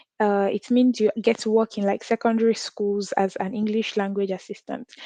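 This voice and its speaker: Speaking in a Nigerian accent at a moderate pace, a woman with a fairly high pitch and a dark, mellow tone keeps a monotone, flat intonation, in dry, close sound with no echo. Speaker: international student and content creator. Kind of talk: interview.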